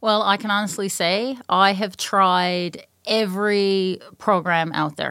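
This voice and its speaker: In a very clean recording with a silent background, a woman with a Newfoundland accent speaks in a bright, sharp tone. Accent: Newfoundland, noticeable. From Newfoundland, Canada. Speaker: mental health and addictions counselor, client.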